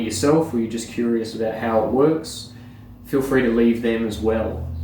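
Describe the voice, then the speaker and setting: A man with an Australian accent speaks at a medium pitch with ordinary pitch variation. Audible room echo and noticeable background noise surround him. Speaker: surfboard repair YouTuber. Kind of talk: casual vlog update. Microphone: no microphone, poor audio.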